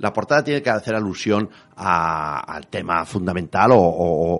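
A man's very deep, low voice at a fairly slow pace, with lively intonation. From Spain, La Rioja. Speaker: writer and retired teacher. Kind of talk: radio interview.

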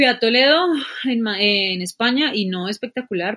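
A woman has a normal speaking voice. She speaks at a moderate pace with a fairly high pitch. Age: 20s. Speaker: environmental engineer. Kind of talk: casual chat.

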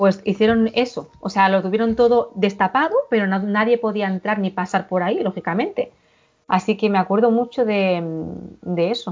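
Her speech has fairly even intonation. A woman with a medium-pitched voice speaks at a moderate pace. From Catalonia, Girona Pyrenees. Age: 40s. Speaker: paranormal experience witness. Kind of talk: testimony. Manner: halting.

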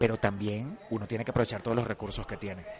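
In a plain, everyday voice, a man speaks with fairly low pitch and fairly even intonation. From Venezuela. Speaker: actor. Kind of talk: casual interview.

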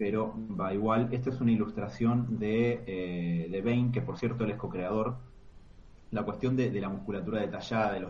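A man's somewhat breathy, fairly low voice moves at a fairly quick pace with fairly even intonation and audible room echo. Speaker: comic podcast co-host. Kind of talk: casual chat. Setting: live stream.

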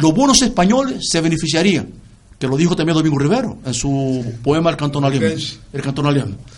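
Amid audible room echo, a man with a fairly high pitch and lively intonation speaks at a fairly quick pace. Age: 70s. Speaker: writer. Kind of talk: interview.

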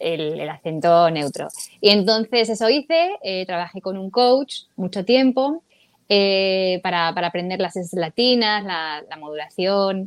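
A woman's medium-pitched voice at a fairly slow pace, with lively intonation and big swings in loudness. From Spain, Madrid. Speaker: voice actor and singer. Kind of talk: interview.

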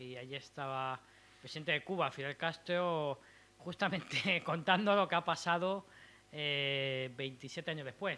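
This man has a normal speaking voice, fairly high in pitch, with ordinary pitch variation at a fairly slow pace. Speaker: poet and event organizer. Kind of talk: poetry reading. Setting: stage with audience.

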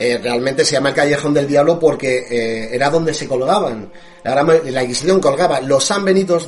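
There is noticeable background noise behind a man speaking with a Spanish accent. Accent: Spanish (Spain). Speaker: radio host. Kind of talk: scripted narration; casual chat.

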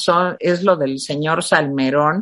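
A woman speaks at a very slow pace. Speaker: political commentary show host. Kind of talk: casual political chat.

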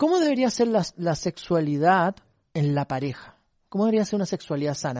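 Man with a high pitch and a fairly quick pace, in a dry, close sound with no echo against a quiet background. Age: 40s. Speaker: church program host. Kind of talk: interview.

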